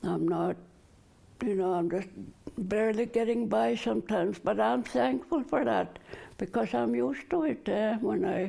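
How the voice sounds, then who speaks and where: With a dark, mellow tone and vocal fry, a woman talks at a moderate pace and medium pitch, her loudness very even while her pitch swings very widely. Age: 70s. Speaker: community elder. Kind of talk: personal testimony.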